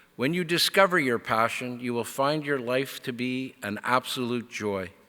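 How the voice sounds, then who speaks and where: On a very clean recording with a silent background, a man speaks fairly slowly in a bright, sharp tone with ordinary pitch variation. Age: 60s. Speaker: convocation speaker. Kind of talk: commencement speech. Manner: formal.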